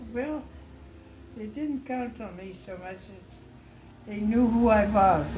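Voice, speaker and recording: Her fairly high pitch showing ordinary variation, a woman speaks at a very slow pace with long, frequent pauses. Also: big swings in loudness. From Netherlands. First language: Dutch. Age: 90s. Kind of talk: interview answer.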